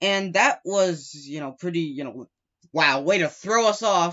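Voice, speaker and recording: Pitched high, a man's voice proceeds at a moderate speed. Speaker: gaming commentator. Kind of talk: casual gaming commentary. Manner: stuttering, hesitant.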